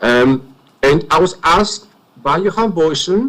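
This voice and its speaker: Speaking at a fairly slow pace, a man with a non-native accent uses lively intonation at a high pitch for a man. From Greece. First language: not English. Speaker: inquiry witness. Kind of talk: witness testimony.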